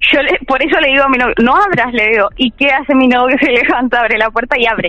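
A high-pitched woman in a Rioplatense accent, very fast, over noticeable background noise. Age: 20s. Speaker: caller sharing a paranormal experience. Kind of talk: testimony. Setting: remote call.

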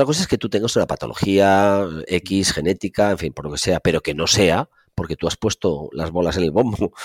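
A man talks at a fairly quick pace with a very deep, low pitch and ordinary pitch variation. The sound is dry and close, with no echo. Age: 50s. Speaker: physical education professor. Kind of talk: interview.

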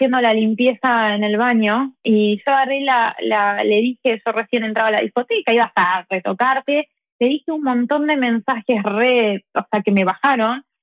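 With an Argentine accent, this speaker runs on with hardly any pauses, keeping fairly even intonation and very even loudness. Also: woman, fairly high pitch for a woman, fairly slow pace. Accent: Argentine Spanish (Rioplatense). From Argentina. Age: 30s. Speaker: tarot reader. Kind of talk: casual interview.

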